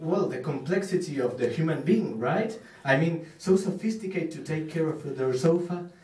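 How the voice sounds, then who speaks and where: A man with an Argentine accent talks at a moderate pace in a high pitch with lively intonation, amid noticeable background noise and audible room echo. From Argentina. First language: Spanish. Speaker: stand-up comedian. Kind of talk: stand-up. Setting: stage with audience at open mic. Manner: halting, many fillers.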